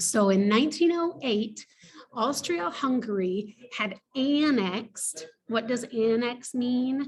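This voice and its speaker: Speaking at a very slow pace, a woman with a fairly high pitch uses lively intonation. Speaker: teacher. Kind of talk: lecture. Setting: hotel lobby.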